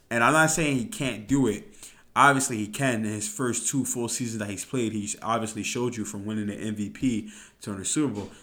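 A man talks very fast at a medium pitch with ordinary pitch variation. His tone is bright and sharp, and audible room echo surrounds it. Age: 20s. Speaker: solo podcast host. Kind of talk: casual solo podcast monologue.

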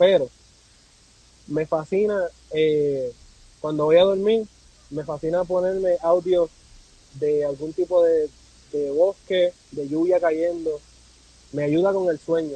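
At a very slow pace with long, frequent pauses, a man with a high pitch talks in fairly even intonation, the sound dry and close with no echo. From Puerto Rico. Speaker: content creator and amateur photographer. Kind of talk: casual interview conversation.

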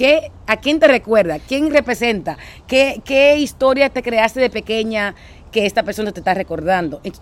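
At a moderate pace, a woman with a plain, everyday voice speaks at a fairly high pitch. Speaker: podcast co-host. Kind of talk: casual chat. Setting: outdoors.

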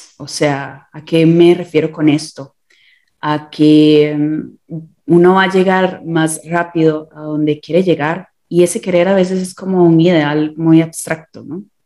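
Speaking fairly slowly, a woman has a fairly low pitch and a dark, mellow tone. Her intonation is monotone and flat, with big swings in loudness. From Costa Rica. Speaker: visual and performing artist. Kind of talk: interview. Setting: remote call.

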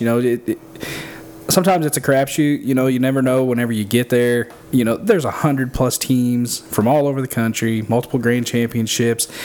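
A man with an American accent talks at a fairly quick pace in a medium pitch with ordinary pitch variation, noticeable background noise behind him. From southern Illinois. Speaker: barbecue pitmaster. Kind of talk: casual chat.

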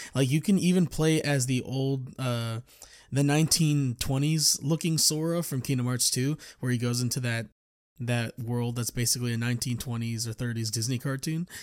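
Recorded very cleanly against a silent background, a man speaks at a medium pitch. He keeps a moderate pace with ordinary pitch variation. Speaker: podcast host. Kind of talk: casual solo chat. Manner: nervous, rambling, filler words; halting, self-correcting.

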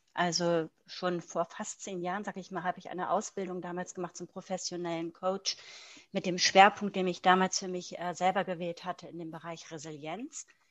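Against a quiet background, a woman speaks at a moderate pace and fairly low pitch with monotone, flat intonation and big swings in loudness. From Germany. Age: 40s. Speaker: mindfulness teacher. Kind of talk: interview. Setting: video call.

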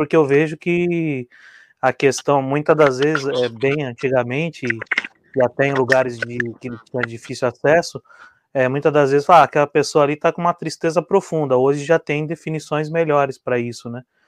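The dry, close recording with no echo captures a man with a normal speaking voice, fairly high in pitch, talking at a moderate pace with fairly even intonation. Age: 30s. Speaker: co-host. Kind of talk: live talk show.

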